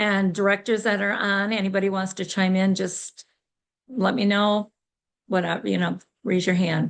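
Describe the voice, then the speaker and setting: Against a quiet background, the speech comes at a moderate pace with monotone, flat intonation and very even loudness. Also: woman, medium pitch for a woman. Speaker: sales director giving business training. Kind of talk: training session.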